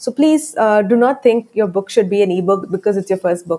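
In an Indian accent, a woman speaks very fast with lively intonation, her dark, mellow voice sitting at a medium pitch. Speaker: book publisher and author coach. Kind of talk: interview. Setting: remote call.

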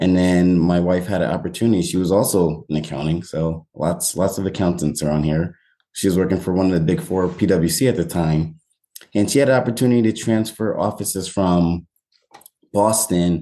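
Very deep and low, a man's voice has a dark, mellow tone, ordinary pitch variation and very even loudness. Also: moderate pace. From New York, Westchester County. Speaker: real estate agent. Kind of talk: casual interview.

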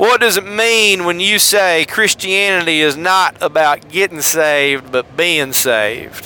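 Putting on a character voice, a man drawls at a fairly slow pace in a Mississippi accent, his pitch high for a man, over light background noise. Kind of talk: wealthy speaker. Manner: slow drawl.

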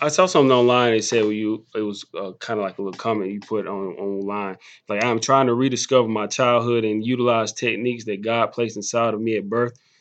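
Speaking at a very fast pace with hardly any pauses, a man keeps a medium pitch and fairly even intonation over a quiet background. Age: 20s. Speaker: podcast host. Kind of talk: casual interview. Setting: in person.

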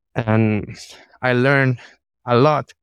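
Flat, monotone delivery in a close, dry sound without any echo. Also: man. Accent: Spanish. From Panama City, Panama. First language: Spanish. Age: 30s. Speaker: organizational psychologist. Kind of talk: interview. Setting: remote call. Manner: hesitant.

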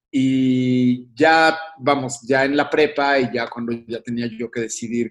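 A man speaks in an ordinary speaking voice, his pitch medium with ordinary pitch variation. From Mexico. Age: 40s. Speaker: composer and musician. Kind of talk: interview.

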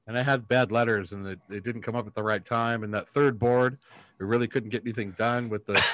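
An unremarkable speaking voice from a medium-pitched man, fairly quick and fairly even in intonation, in a very clean recording with a silent background. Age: 50s. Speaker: sports podcast co-host. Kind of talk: casual chat.

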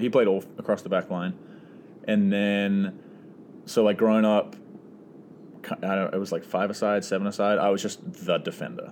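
Pausing long and often, a man speaks at a moderate pace with a fairly low pitch and monotone, flat intonation. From New Zealand, Auckland. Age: 20s. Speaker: professional soccer player. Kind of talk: casual chat.

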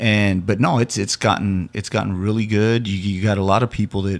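With an American accent, a man speaks in an ordinary speaking voice at a moderate pace, his fairly low pitch held to fairly even intonation, in a very clean recording with a silent background. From US Southwest, Summerton area near Yuma. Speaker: hip-hop artist and music producer. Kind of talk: casual interview.

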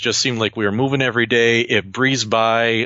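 Medium in pitch, a man with an American accent talks at a very fast pace. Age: 40s. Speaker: museum archivist and automotive historian. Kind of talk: interview.

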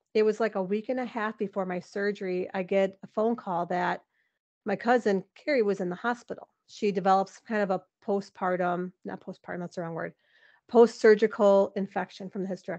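Against a quiet background, a woman with an unremarkable speaking voice talks at a fairly quick pace and medium pitch, her intonation fairly even, in a dry, close sound with no echo. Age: 40s. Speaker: motivational speaker, former hospital worker. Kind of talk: casual interview.

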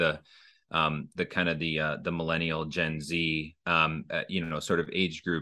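A man speaks with a very deep, low pitch and a bright, sharp tone. The background is quiet. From Minnesota. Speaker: franchise development executive. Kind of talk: casual interview.

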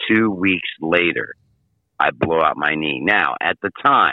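Speaking in an American accent, a man has a very deep, low pitch. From Michigan. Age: 50s. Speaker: sports handicapper. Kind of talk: casual interview. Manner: animated.

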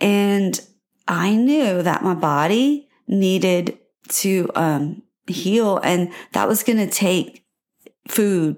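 Over a silent background in a very clean recording, a woman speaks at medium pitch with a warm tone, very even loudness, ordinary pitch variation, a very slow pace and long, frequent pauses. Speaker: podcast host. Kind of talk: solo podcast monologue, personal story. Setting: home recording with microphone. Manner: warm, encouraging, conversational.

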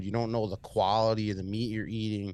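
With an American accent, a man with a fairly low voice talks at a fairly quick pace in an animated tone. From Long Island, New York. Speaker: entrepreneur and podcast host. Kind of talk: casual interview chat. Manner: casual, profane, animated.

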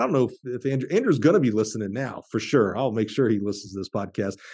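Dark, mellow tone with a Southern US accent, ordinary pitch variation and a quiet background. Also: man. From Alabama. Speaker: podcast host. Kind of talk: interview.

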